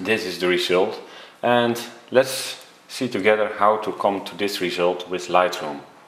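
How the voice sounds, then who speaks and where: Fairly slow speech in a Dutch accent, with ordinary pitch variation, noticeable background noise and audible room echo. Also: man, fairly low pitch for a man. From Netherlands. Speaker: photography tutor. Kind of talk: tutorial. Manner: hesitant.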